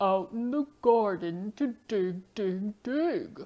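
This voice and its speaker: A woman's cartoonish character voice, medium in pitch, at a very slow pace. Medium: puppet.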